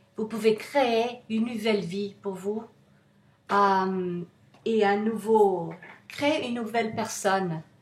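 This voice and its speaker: A somewhat breathy woman's voice at medium pitch with fairly even intonation. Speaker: self-help author. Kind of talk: motivational talk to camera. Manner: halting, many hesitations.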